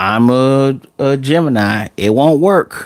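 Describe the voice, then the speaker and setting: Lively intonation marks the way this man speaks. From Chicago, US Midwest. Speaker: streamer. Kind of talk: livestream chat. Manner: casual, halting.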